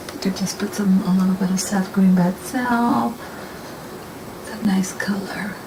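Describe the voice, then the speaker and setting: A woman speaks with long, frequent pauses. Audible room echo and noticeable background noise fill the recording. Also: medium pitch for a woman, ordinary pitch variation, moderate pace. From desert region. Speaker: painting instructor. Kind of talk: tutorial. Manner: casual, with many fillers.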